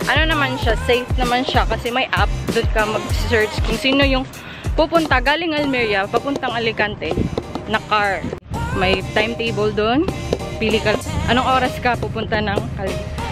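A woman's voice in a dry sound with no echo, with clear music in the background. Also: moderate pace. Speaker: travel vlogger. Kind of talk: casual vlog chat. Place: street. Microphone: phone near.

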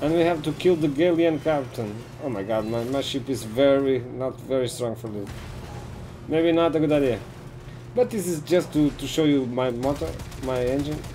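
The speaker has a non-native accent and a moderate pace, with long, frequent pauses and ordinary pitch variation. There is light background noise. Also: man, fairly high pitch for a man. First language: not English. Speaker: gaming streamer. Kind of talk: live gameplay commentary and casual chat. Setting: live stream with online voice chat. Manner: halting. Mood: relaxed, explanatory. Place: home room.

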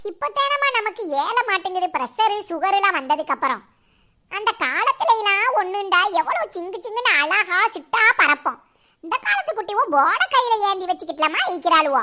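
A woman puts on a character voice at an extremely high pitch. She speaks at a fairly slow pace with very wide pitch swings. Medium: comedy sketch. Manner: scolding, dramatic, long-winded.

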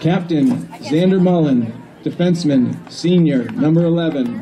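A man at a fairly slow pace with ordinary pitch variation and crowd noise in the background. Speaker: field announcer. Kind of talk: roster announcement. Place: stadium.

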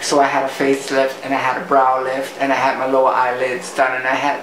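Background noise is noticeable in this clip. Over it, a man talks at a fairly quick pace. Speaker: vlogger. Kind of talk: personal reflective vlog talk. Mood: reflective, emotional. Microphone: phone near.

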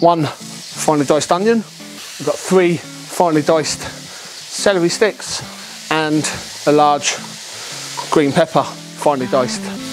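A fairly slow pace, with clear music in the background. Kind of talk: cooking tutorial. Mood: relaxed, friendly. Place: garden.

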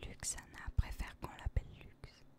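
Whispering at a fairly slow pace, a woman speaks. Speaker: ASMR content creator. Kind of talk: whispered ASMR reading of game character biography. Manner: whispered, soft, relaxing.

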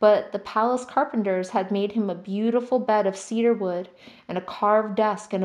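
The intonation stays fairly even while the speaker is reading aloud in a natural voice.

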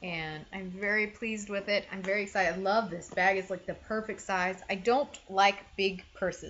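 Over light background noise, a woman with an unremarkable speaking voice talks at a medium pitch. Her pace is fairly quick and her intonation fairly even. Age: 30s. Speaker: lifestyle YouTuber. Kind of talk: casual haul monologue. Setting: home video recording. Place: home room. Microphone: webcam.

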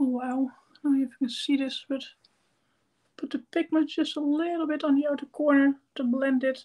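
The speech moves at a fairly quick pace, broken by long, frequent pauses. Intonation stays fairly even while the loudness swings widely. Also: woman, high pitch for a woman. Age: 30s. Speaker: makeup YouTuber. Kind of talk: livestream makeup tutorial. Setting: live stream at home.

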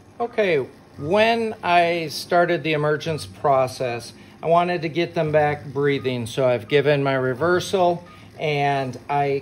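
The voice moves with ordinary pitch variation while faint music plays in the background. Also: man. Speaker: anesthesia instructor. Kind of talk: tutorial. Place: hall. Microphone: camera far.

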